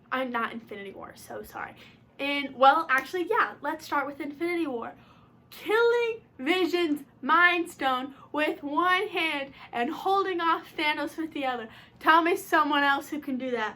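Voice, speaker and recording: A woman shouting in a high, raised, projected voice, bright and sharp in tone, animated, with lively intonation, big swings in loudness and a fairly slow pace. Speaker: YouTuber. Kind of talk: casual vlog. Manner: loud, shouting.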